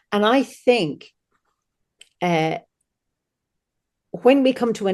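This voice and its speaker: Against a quiet background, a woman with a dark, mellow tone speaks in an Irish accent. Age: 60s. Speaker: druid leader and celebrant. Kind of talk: casual interview.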